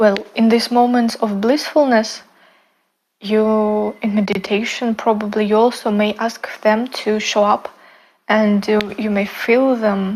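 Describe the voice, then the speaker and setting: A fairly high-pitched woman with a non-native accent, fairly slow and monotone, flat in intonation. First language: not English. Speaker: spiritual content creator. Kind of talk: casual talk to camera. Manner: halting, many fillers and restarts.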